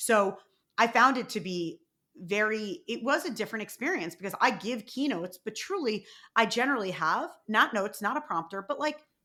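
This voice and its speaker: In a New York accent, a woman speaks at a fairly high pitch with lively intonation and a bright, sharp tone, recorded very cleanly over a silent background. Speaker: podcast host and keynote speaker. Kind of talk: casual interview chat. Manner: fast talker.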